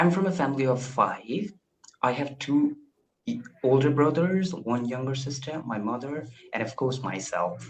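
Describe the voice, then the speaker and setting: At a moderate pace, a man with a somewhat breathy, medium-pitched voice speaks with ordinary pitch variation. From India. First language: Indian language. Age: 20s. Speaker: English learner. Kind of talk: casual chat.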